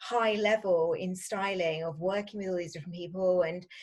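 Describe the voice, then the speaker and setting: In a British accent, the speaker talks at a moderate pace with ordinary pitch variation. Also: woman. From UK. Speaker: fashion stylist. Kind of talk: interview.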